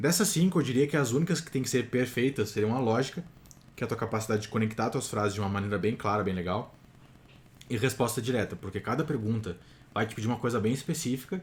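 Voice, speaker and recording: Somewhat breathy, a man talks at a very fast pace with medium pitch. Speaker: TOEFL prep youtuber. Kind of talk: tutorial. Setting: home recording at night.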